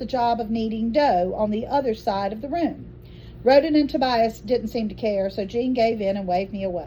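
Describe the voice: Text read aloud plainly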